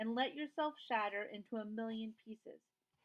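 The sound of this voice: Against a quiet background, the speaker reads in an unforced reading voice with ordinary pitch variation.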